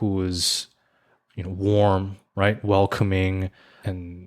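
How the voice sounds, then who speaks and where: A man with an American accent and a fairly low pitch. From US, Korean-American. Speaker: podcast co-host. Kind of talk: casual chat. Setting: podcast recording. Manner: halting, many repeated words.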